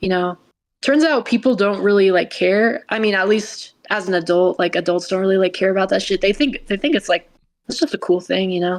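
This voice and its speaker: At a fairly quick pace, a woman with a medium pitch and ordinary pitch variation speaks in an unremarkable speaking voice. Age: 20s. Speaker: retired top video game player. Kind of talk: casual interview chat.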